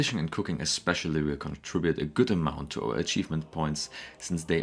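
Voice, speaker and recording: A man's very deep, low voice at a very fast pace, with a non-native accent. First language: not English. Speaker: gaming YouTuber. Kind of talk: gameplay commentary narration.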